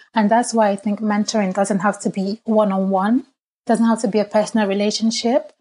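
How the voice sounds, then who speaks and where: A somewhat breathy voice at a fairly quick pace. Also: woman. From Nigeria. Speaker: financial services professional and wellbeing founder. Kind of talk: casual interview chat.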